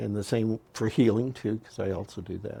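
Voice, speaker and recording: Vocal fry over a dark, mellow tone. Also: man. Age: 70s. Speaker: astrologer and healer. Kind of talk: interview conversation.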